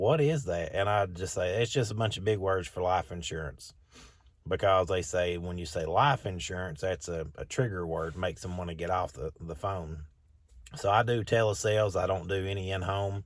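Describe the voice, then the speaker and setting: A man talks at a very deep, low pitch with ordinary pitch variation. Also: moderate pace. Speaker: new life insurance agent and pressure washing business owner. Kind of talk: casual vlog talk. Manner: upbeat, energetic; informal, with fillers and repeated words.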